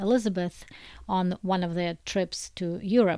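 A woman with a Russian accent and medium pitch speaks at a fairly slow pace with fairly even intonation. The recording is very clean, with a silent background. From Soviet Union. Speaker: book translator. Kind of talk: personal testimony.

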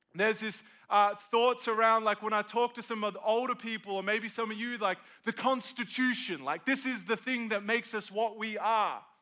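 With an Australian accent, a man projects a raised, high-pitched voice at a moderate pace, his tone bright, sharp and animated. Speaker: pastor. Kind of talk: sermon. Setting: stage with audience.

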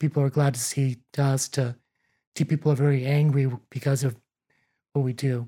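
A man with a fairly high pitch and a somewhat breathy, dark, mellow tone speaks at a fairly quick pace with long, frequent pauses, monotone, flat intonation and very even loudness. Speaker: environmental health inspector, former pastor. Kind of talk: casual interview chat.

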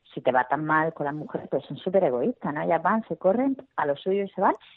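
With a Murcian accent, a woman talks at a fairly quick pace. Her pitch swings very widely. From Murcia, Spain. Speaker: comedian. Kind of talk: interview.

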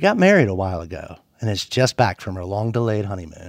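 In a very clean recording with a silent background, a man with an American accent talks in an unremarkable speaking voice at a fairly low pitch. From Floyd County, Virginia. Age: 40s. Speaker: radio host. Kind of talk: scripted narration.

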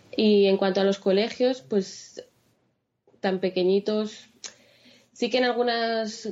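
Her pace is fairly slow. The woman's intonation remains fairly even. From Spain, Madrid. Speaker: blogger and mother. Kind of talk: interview.

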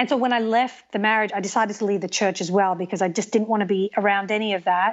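A woman with an Australian accent talks at a very fast pace with hardly any pauses. Her pitch is medium and her intonation fairly even. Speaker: TV host and documentary maker. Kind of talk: interview conversation. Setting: remote recording, sitting in an armchair.

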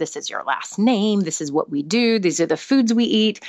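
A woman with an American accent uses a normal speaking voice with lively intonation at a moderate pace. The background is quiet. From United States. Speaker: psychotherapist. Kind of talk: casual chat. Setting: remote call.

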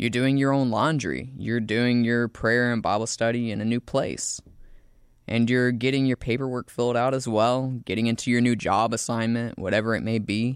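Spoken at a moderate pace with an even loudness throughout, this monotone, flat voice has a Southern US accent over a quiet background. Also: man, medium pitch for a man. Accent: Southern US, charming. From US South, South Carolina. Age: 20s. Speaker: student narrator and show producer. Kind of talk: scripted narration.

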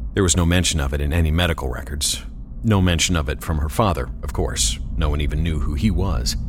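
Amid noticeable background noise, a man with a very deep, low pitch talks in a calm tone at a moderate pace, his intonation lively. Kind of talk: ghost story narration. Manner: calm, quiet and suspenseful.

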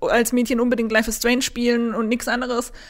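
She is a woman with a high pitch. Her intonation is monotone and flat. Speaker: games journalist. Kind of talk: casual chat.

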